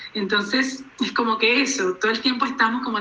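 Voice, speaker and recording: A woman's fairly high voice with ordinary pitch variation, amid audible room echo and noticeable background noise. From Colombia, Cartagena. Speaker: writer. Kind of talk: interview conversation. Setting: video call. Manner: hesitant, many fillers and repetitions.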